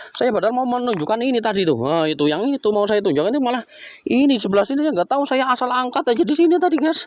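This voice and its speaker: Over noticeable background noise, a man talks in an animated tone at a very fast pace with very wide pitch swings, the sound dry and close with no echo. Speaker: rock-hunting vlogger. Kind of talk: outdoor vlog narration. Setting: outdoors by a river.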